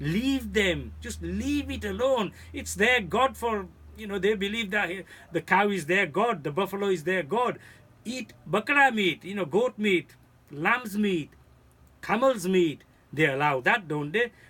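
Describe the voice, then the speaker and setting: A bright, sharp, raised and projected voice with lively intonation, a fairly slow pace and long, frequent pauses. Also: man, high pitch for a man. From India, moved to England at six. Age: 50s. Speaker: community speaker. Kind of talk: video message. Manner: earnest, pleading.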